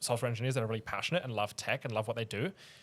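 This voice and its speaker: Recorded very cleanly against a silent background, a man with a non-native accent speaks with fairly even intonation. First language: not English. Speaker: podcast host. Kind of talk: casual podcast conversation. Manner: halting, many false starts and fillers.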